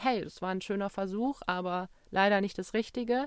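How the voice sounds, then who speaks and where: A woman with an ordinary speaking voice, medium pitch and fairly even intonation at a fairly quick pace, in a very clean recording with a silent background. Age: 30s. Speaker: podcast host, travelling mother. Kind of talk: solo podcast monologue.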